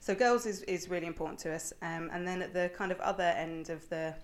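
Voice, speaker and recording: A normal speaking voice from a woman, fairly low in pitch. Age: young. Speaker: charity innovation manager. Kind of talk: interview.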